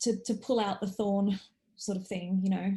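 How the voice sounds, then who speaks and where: Somewhat breathy, a woman speaks with a dark, mellow tone. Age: 40s. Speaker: course participant, former news journalist. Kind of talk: casual chat. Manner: halting.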